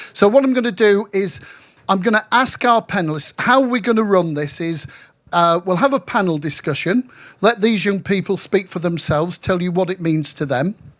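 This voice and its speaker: A man with a northern English accent speaks at a high pitch with lively intonation. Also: moderate pace. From northwest England, Manchester. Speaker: local councillor, panel chair. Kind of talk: panel discussion moderation. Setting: pavilion at event with audience.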